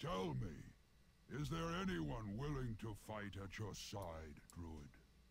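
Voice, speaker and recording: A man puts on a character voice, fairly low in pitch, with very wide pitch swings at a very slow pace over clear background noise. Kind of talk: epic fantasy game voice. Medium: video game. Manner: solemn, commanding.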